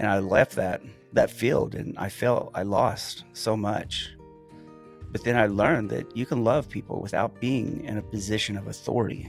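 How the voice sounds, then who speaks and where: Over music in the background, a man talks at a moderate pace with a fairly low pitch and ordinary pitch variation. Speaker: former police officer. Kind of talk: monologue to camera.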